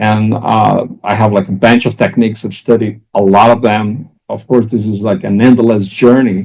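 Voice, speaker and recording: A man with a Portuguese accent, fairly low pitch, monotone, flat intonation, a moderate pace and hardly any pauses. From Brazil. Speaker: executive coach. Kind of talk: interview.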